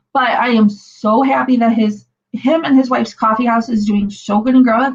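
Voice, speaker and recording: A woman with an American accent speaks in a fairly high pitch. Her voice is somewhat breathy, with fairly even intonation. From Northwest Indiana (Munster, Lake County). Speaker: channel host, livestreamer. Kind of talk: casual chat. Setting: livestream.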